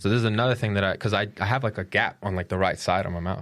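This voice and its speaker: The speaker mumbles at a very fast pace with fairly even intonation, on a very clean recording with a silent background. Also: man. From Colombia. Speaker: podcast host. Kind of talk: casual chat. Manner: mumbling.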